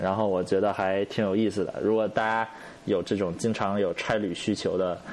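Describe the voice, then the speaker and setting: A man speaks at a moderate pace in a fairly low pitch, his intonation monotone and flat and his loudness very even. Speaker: podcast co-host. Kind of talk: casual chat.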